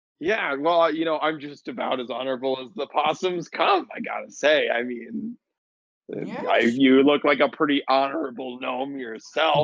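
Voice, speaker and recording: Putting on a character voice, a man speaks at a moderate pace in a fairly high, raspy voice with big swings in loudness and lively intonation. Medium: actual play. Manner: folksy, chatty.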